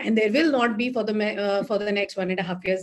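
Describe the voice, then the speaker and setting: A woman with a normal speaking voice, medium in pitch, her intonation fairly even. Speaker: astrologer. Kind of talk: online talk to live audience. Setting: live online session with chat.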